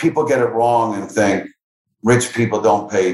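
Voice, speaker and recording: He has an ordinary speaking voice with an American accent. This man talks at a fairly slow pace with a medium pitch and ordinary pitch variation. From Philadelphia area, US. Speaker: entrepreneur and philanthropist. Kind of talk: interview.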